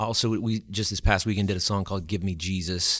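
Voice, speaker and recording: A man with an American accent speaks in a very clean recording against a silent background. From Louisiana, Alexandria. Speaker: church music coordinator. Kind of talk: casual chat.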